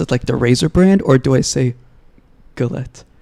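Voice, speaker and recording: Speaking at a medium pitch, a man has an Israeli accent. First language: Hebrew. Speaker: podcast co-host. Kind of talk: casual chat.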